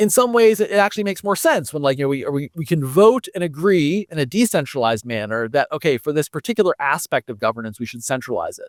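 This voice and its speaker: A man with an American accent at a very fast pace, very wide pitch swings, a dry, close sound with no echo, and a very clean recording over a silent background. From United States. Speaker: foundation director in blockchain governance and education. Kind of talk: podcast interview. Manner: halting, many fillers and restarts.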